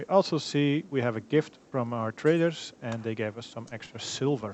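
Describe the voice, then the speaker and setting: Speaking at a moderate pace with a non-native accent, a man uses a medium pitch and ordinary pitch variation. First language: not English. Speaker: gaming YouTuber. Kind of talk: let's play commentary.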